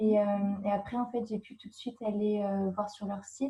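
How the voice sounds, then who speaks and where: A woman at medium pitch speaks at a moderate pace in a dark, mellow, somewhat breathy tone with monotone, flat intonation. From France, Brittany (Brest). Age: 20s. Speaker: au pair. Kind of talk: interview. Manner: hesitant, many fillers.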